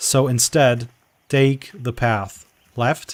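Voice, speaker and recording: A man with a non-native accent speaks at a medium pitch with fairly even intonation. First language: not English. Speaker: game developer community manager. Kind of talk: gameplay walkthrough stream. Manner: halting.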